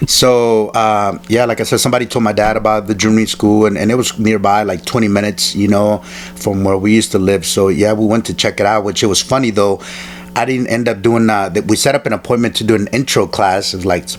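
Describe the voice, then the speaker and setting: Very fast speech with fairly even intonation and very even loudness, over noticeable background noise. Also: man, fairly low pitch for a man. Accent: Spanish. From El Salvador, raised in Alexandria, Virginia. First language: Spanish. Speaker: martial artist and stuntman. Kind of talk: interview. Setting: in-person interview. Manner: halting, many fillers.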